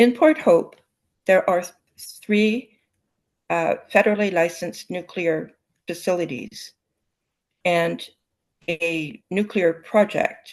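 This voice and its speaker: A woman with a Canadian accent speaks at a very slow pace with ordinary pitch variation. Long, frequent pauses run through her speech. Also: medium pitch for a woman. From Ontario, Canada. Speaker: community health volunteer. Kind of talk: presentation.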